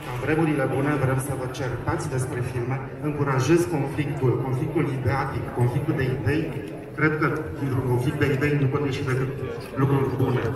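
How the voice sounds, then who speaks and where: A man speaks at a moderate pace, with noticeable background noise and audible room echo. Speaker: festival host on stage. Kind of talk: opening gala speech. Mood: earnest, rallying. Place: street.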